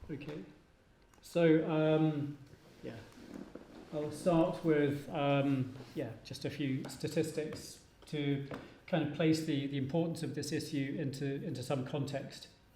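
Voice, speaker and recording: A man's fairly high, monotone, flat voice with long, frequent pauses and audible room echo. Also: fairly slow pace. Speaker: professor. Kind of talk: conference presentation.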